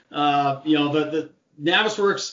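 A man with an American accent and a plain, everyday voice, fairly high in pitch, at a moderate pace with ordinary pitch variation. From Seattle, US Pacific Northwest. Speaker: BIM coordinator and content creator. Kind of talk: casual interview.

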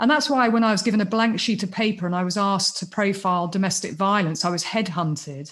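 A woman with a British accent speaks at a fairly quick pace and a medium pitch, sounding somewhat breathy. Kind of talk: casual interview chat. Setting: video call.

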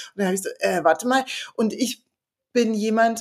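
In an unremarkable speaking voice, a woman talks at a moderate pace and medium pitch with ordinary pitch variation. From East Berlin. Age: 40s. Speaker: author and columnist. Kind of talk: casual interview conversation.

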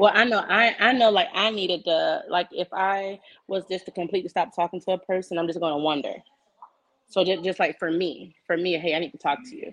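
Fairly quick and medium-pitched, a woman with an unremarkable speaking voice talks with ordinary pitch variation. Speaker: guest. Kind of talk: casual chat. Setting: video call, headphones.

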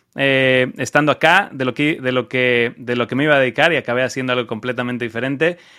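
A man talks very fast at a medium pitch, with hardly any pauses and fairly even intonation. His tone is bright and sharp, and the recording is very clean against a silent background. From Mexico, Cancún. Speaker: e-commerce entrepreneur. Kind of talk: interview. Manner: halting, many repetitions.

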